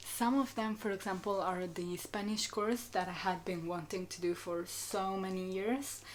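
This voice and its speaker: A woman with an Italian accent speaks at a moderate pace with hardly any pauses. Her medium-pitched voice keeps a fairly even intonation. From Italy. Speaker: student vlogger. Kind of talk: casual chat. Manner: hesitant with many fillers.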